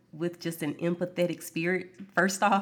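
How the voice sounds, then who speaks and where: A woman with an American accent and an unremarkable speaking voice talks at a moderate pace with a fairly low pitch. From US South, Alabama. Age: 40s. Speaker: physician. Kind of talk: interview.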